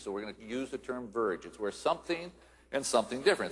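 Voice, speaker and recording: Here is a man with a plain, everyday voice and medium pitch. His intonation is lively. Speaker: futurist, keynote speaker. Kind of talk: conference keynote speech.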